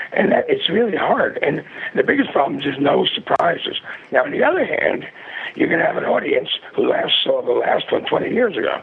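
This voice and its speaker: A man is talking at a fairly quick pace. Noticeable background noise can be heard. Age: 60s. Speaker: film producer and graphic designer. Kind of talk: interview. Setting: phone call.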